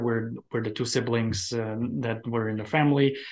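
A man speaks with a Romanian accent. His pace is fairly slow and his pitch variation ordinary. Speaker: immigrant mindset coach. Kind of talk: interview conversation.

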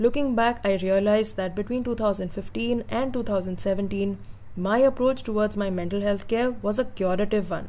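Pitched fairly high, a woman's voice has a dark, mellow tone. She keeps a moderate pace with ordinary pitch variation. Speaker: blogger and writing coach. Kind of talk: reading own blog post aloud.

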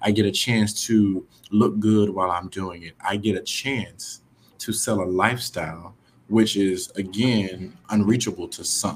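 A man's normal speaking voice with an American accent, fairly low and fairly slow, with big swings in loudness. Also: fairly even intonation. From Houston, Texas. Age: 30s. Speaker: real estate investor and aspiring realtor. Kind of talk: casual interview.

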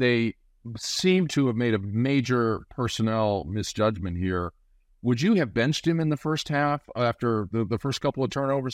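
A man with an ordinary speaking voice talks at medium pitch and a moderate pace with lively intonation, recorded dry and close with no echo against a quiet background. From Nebraska. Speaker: podcast host. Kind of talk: casual chat.

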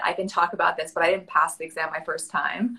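A woman speaks with an American accent at a medium pitch. Her tone is bright and sharp, with ordinary pitch variation. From New York City. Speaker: registered dietitian. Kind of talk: casual interview. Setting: video call on cellular connection.

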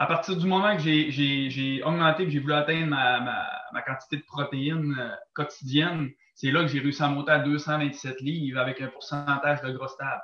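A man speaks with a Quebec accent at fairly high pitch. His pace is moderate and his intonation fairly even. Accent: Québécois French. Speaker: athlete, gym-goer. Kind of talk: casual interview chat. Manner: halting.

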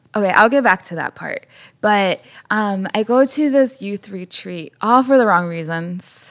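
A woman with a normal speaking voice and medium pitch talks at a fairly slow pace with lively intonation and big swings in loudness. The sound is dry and close, with no echo. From Chicago, southwest side. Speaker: podcast co-host, photographer and storyteller. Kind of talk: interview, personal testimony.

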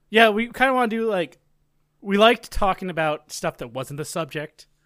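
At a moderate pace, a man speaks with very wide pitch swings, the sound dry and close with no echo in a very clean recording with a silent background. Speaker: podcast co-host and streamer. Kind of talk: casual chat.

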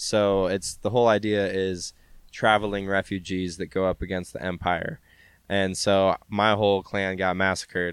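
At a moderate pace, a man talks in a monotone, flat intonation on a very clean recording with a silent background. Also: fairly low pitch for a man. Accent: American. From Spokane, Washington, US Pacific Northwest. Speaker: rapper. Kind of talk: casual chat. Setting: outdoors on a stoop.

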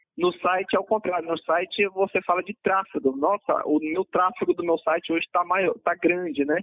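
The man's voice sits high in pitch, moving at a moderate pace with fairly even intonation. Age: 30s. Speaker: marketing director and online shop owner. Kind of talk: interview. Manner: halting.

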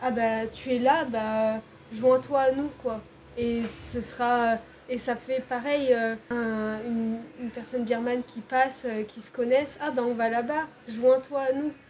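A woman's high, flat monotone at a very slow pace, with big swings in loudness and noticeable background noise. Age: 20s. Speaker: civic service volunteer at an NGO. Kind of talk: casual interview.

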